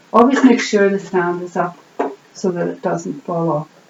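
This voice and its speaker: A woman speaks in a calm tone with ordinary pitch variation. Background noise is noticeable. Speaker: sewing teacher. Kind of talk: instructional demonstration for beginners. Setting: home recording with a camera. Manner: friendly, calm, conversational.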